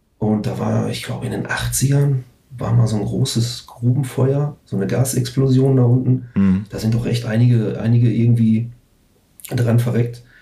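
This man talks at a moderate pace with a medium pitch and monotone, flat intonation. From Ruhr area, Germany (Recklinghausen). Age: 40s. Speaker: punk/metal band musician. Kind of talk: casual chat.

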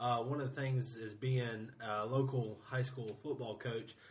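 With audible room echo, a man with a South Carolina accent talks at medium pitch with fairly even intonation. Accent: Southern American (South Carolina). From Greenville, South Carolina. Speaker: supporters group match day coordinator. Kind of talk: casual interview.

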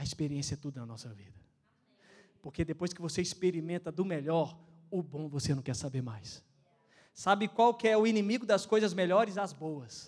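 A man's high-pitched voice at a moderate pace, lively in intonation, on a very clean recording over a silent background. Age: 20s. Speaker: pastor. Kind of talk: sermon. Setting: church. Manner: animated.

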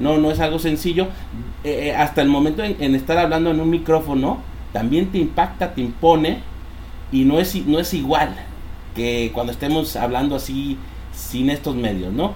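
A man's fairly high voice in a Mexican accent at a moderate pace, with ordinary pitch variation, audible room echo and noticeable background noise. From Mexico (born Mexico City, raised near Villahermosa, Tabasco). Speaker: entrepreneur and podcast co-host. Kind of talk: casual chat. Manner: halting, many repetitions.

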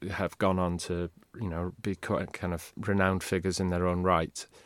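A man speaks at a moderate pace in a Welsh accent, his pitch very deep and low. The sound is dry and close with no echo, on a very clean recording with a silent background. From Wales. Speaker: university lecturer and former journalist. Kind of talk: casual interview chat.

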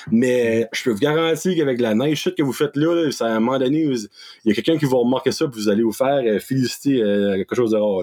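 This man talks at a very fast pace, with a medium pitch. His tone is dark and mellow, with ordinary pitch variation. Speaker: content creator. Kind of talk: casual chat. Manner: animated.

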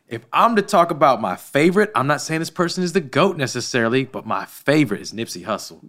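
Talking very fast with hardly any pauses, a man with a fairly high pitch, vocal fry and very wide pitch swings is heard in a very clean recording with a silent background. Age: 30s. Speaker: gym owner and church volunteer leader. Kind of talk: podcast interview.

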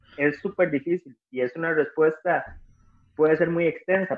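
Talking at a moderate speed, a man has a fairly high pitch. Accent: Costa Rican. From Costa Rica, Cartago. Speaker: rock musician. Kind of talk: casual interview chat. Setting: remote call from home.

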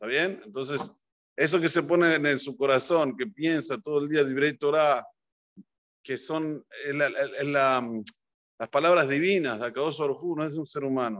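This man has a fairly high pitch and a plain, everyday voice. He talks at a fairly slow pace with ordinary pitch variation. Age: 50s. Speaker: rabbi teaching Torah. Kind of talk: religious lesson.

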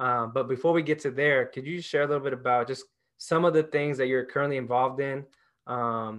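This man has an unremarkable speaking voice at medium pitch. He talks at a fairly quick pace with fairly even intonation over a quiet background. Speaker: podcast host. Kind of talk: interview conversation.

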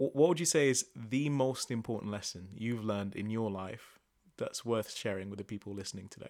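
This man has a normal speaking voice and talks at a fairly quick pace. His pitch varies in an ordinary way, while his loudness swings a lot. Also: medium pitch for a man. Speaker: podcast host. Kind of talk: casual interview chat.

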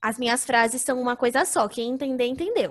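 This is a woman speaking. Her pitch is high. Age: 20s. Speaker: podcast host. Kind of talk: casual chat.

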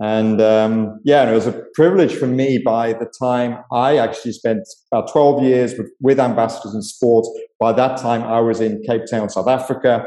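A man speaks with a British accent. His tone is dark and mellow. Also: medium pitch for a man, fairly even intonation, moderate pace. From UK. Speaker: ministry leader. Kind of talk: interview.

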